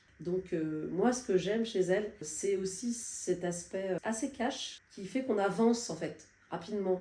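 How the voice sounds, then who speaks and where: A woman talks at a moderate pace and medium pitch, with ordinary pitch variation. Her tone is dark and mellow. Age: 60s. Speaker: client giving a testimonial. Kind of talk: testimony. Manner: hesitant, many fillers.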